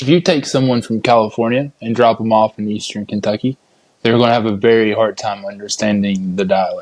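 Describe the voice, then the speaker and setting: Speaking at a fairly quick pace with an Appalachian accent, a man keeps a medium pitch and fairly even intonation. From Appalachia, US. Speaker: podcast host. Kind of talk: casual interview chat.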